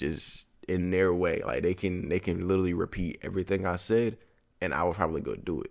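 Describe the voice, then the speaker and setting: A man talks at a moderate tempo on a very clean recording with a silent background. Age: 20s. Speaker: podcast host. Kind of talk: casual solo monologue. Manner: rambling, casual.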